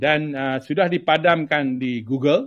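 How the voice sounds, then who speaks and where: A man's voice at a very slow pace, medium in pitch, with ordinary pitch variation. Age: 70s. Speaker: movement chairman. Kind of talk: talk to supporters on video conference. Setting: video conference. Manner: hesitant, many fillers.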